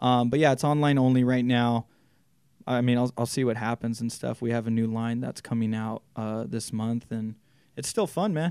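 Heard on a very clean recording with a silent background, the speaker has a normal speaking voice and an American accent. The intonation is fairly even and the pace is moderate. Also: man, medium pitch for a man. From Southern California, Inland Empire (Chino Hills). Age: 20s. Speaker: clothing store owner. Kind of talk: casual interview chat.

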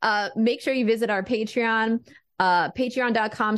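A woman talks at a moderate pace in a plain, everyday voice. The background is quiet. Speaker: podcast co-host. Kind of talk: casual banter and interview.

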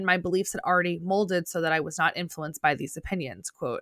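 With a New Jersey accent, a woman speaks at a medium pitch in a bright, sharp tone, recorded dry and close with no echo on a very clean recording with a silent background. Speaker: podcast co-host, teacher. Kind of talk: casual chat.

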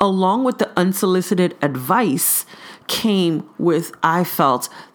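This woman speaks with an American accent at a medium pitch. Her pace is fairly slow and her intonation lively. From Brooklyn, New York. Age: 40s. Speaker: podcast host. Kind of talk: solo podcast monologue.

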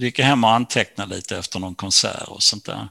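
An ordinary speaking voice from a man, fairly low in pitch, with ordinary pitch variation. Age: 60s. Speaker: author. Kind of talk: interview.

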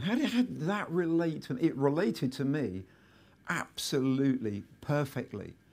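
Speaking at a fairly slow pace with a southern English accent, a man lets his pitch swing very widely in a very clean recording with a silent background. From southern England. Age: 50s. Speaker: entrepreneur. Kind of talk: live interview and talk. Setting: stage with audience.

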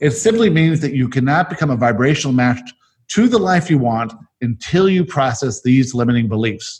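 A man talks at a fairly quick pace in a somewhat breathy voice. His fairly high pitch moves in very wide swings. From South Africa. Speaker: podcast host and channeler. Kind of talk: casual chat. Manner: fast.

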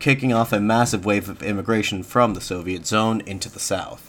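A man with a fairly low pitch and an unremarkable speaking voice talks with fairly even intonation. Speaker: podcast host. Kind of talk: history documentary narration. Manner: measured, formal, even-paced.

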